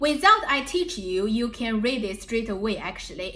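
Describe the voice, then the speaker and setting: With a strong Chinese accent, a woman speaks in a fairly high pitch and lively intonation over noticeable background noise. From China, Shanghai. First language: Mandarin Chinese. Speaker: language teacher. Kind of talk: tutorial.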